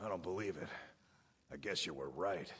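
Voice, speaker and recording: A man uses a put-on character voice, raspy and very deep, low in pitch. His pitch varies in an ordinary way and he talks at a fairly quick pace. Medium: video game. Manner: brash, boastful.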